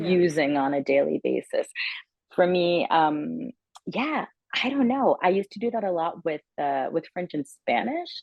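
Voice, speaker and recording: Pitch swinging very widely, a woman speaks at a fairly slow pace. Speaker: audiobook narrator and actor. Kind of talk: interview answer.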